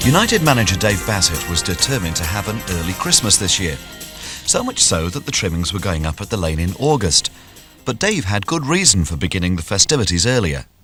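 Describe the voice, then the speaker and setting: A man's fairly low voice at a fairly quick pace, with very wide pitch swings and music in the background. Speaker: radio presenter. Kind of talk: sports documentary narration.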